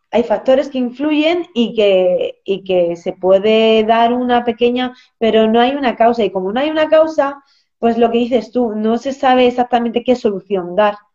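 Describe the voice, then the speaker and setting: A woman's plain, everyday voice, fairly high in pitch. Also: ordinary pitch variation, moderate pace. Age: 30s. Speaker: nutritionist. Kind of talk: interview on a live stream.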